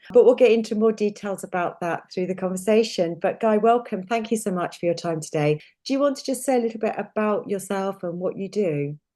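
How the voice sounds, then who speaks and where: With an English accent, a woman talks at a fairly quick pace with hardly any pauses, her medium pitch showing ordinary variation. Her tone is dark and mellow against a quiet background. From England. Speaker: nutritionist and podcast host. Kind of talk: podcast interview.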